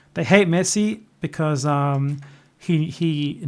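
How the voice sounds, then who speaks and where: An Australian-accented man talks with a fairly high pitch and fairly even intonation. The recording is very clean, with a silent background. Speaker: youtuber, live streamer. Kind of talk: casual chat. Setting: live stream from laptop.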